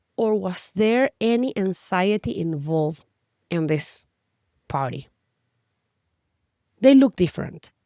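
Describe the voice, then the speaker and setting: A woman speaks very slowly at a medium pitch in a Spanish accent, with long, frequent pauses and very wide pitch swings. Her tone is dark and mellow, and the sound is dry and close with no echo. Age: 40s. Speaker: health and nutrition coach. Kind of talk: educational talk to camera.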